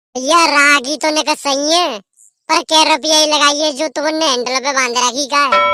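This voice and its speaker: A woman's cartoonish character voice, high in pitch, at a moderate pace with fairly even intonation. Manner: blunt, impatient, bargaining.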